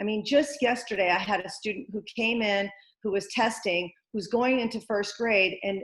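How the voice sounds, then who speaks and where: Somewhat breathy, a woman talks at a moderate pace and a fairly high pitch with ordinary pitch variation. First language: not English. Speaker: school board candidate, business owner. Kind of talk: candidate interview answer.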